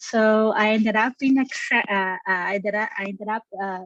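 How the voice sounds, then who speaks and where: A woman with a Brazilian Portuguese accent speaks with fairly even intonation in a dry, close recording with no echo. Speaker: geneticist and review analyst. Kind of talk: career interview.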